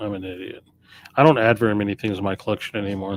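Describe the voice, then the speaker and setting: A man with a plain, everyday voice speaks at a fairly low pitch with fairly even intonation, in a dry, close sound with no echo. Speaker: record store owner streamer. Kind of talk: live stream casual talk. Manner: rambling, self-correcting.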